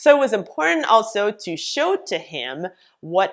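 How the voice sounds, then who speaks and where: A woman talks at a fairly slow pace, her pitch making very wide swings. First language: French. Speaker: business coach. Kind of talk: vlog tutorial.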